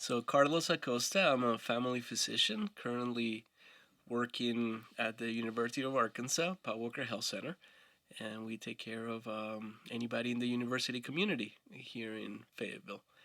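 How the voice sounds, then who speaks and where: With a Spanish accent, a man talks at a fairly quick pace in a medium-pitched voice with a bright, sharp tone. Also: ordinary pitch variation. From Colombia. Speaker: family physician. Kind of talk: podcast interview.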